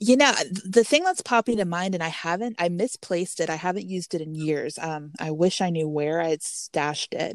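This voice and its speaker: In an ordinary speaking voice, a woman with a fairly low pitch talks at a fairly quick pace with lively intonation, the sound dry and close with no echo. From Texas. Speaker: Halloween blogger. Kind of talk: casual interview chat.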